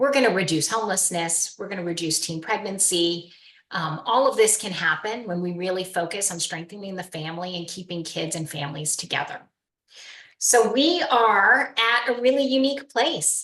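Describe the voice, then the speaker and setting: A woman with a normal speaking voice talks at a moderate pace and medium pitch. Her intonation is lively, and her loudness swings widely. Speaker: nonprofit fundraiser. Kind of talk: practice donor pitch; casual chat.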